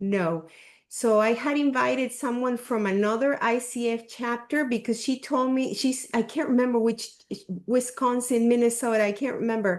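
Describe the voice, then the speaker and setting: With a Spanish accent, the speaker keeps a moderate pace, very even loudness, and fairly even intonation. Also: woman, high pitch for a woman. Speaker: coaching group facilitator. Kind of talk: group discussion on video call.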